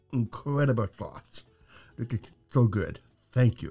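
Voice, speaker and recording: A man talks at a moderate pace, with faint music in the background. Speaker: hot sauce show host. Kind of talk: casual review chat. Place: studio.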